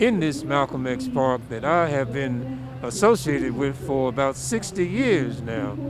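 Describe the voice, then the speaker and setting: With lively intonation, a man speaks at a fairly slow pace. Audible room echo and noticeable background noise surround him. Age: 70s. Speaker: drum and dance group director. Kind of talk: interview. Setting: outdoors. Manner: halting, many repeated words.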